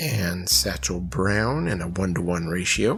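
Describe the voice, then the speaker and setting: Very slow speech from a man, backed by music. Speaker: miniature painter. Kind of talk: painting tutorial narration. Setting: travel recording, not studio. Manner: casual, conversational.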